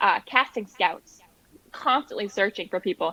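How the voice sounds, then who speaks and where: A woman's fairly high, bright, sharp voice in an American accent, with lively intonation and a dry, close sound with no echo. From New Hampshire, USA. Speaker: singer-songwriter. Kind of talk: interview answer.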